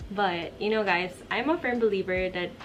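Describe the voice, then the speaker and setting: With music in the background, the words come at a moderate pace. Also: woman. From Philippines. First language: Filipino. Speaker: vlogger. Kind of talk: casual Q&A vlog. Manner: conversational with fillers.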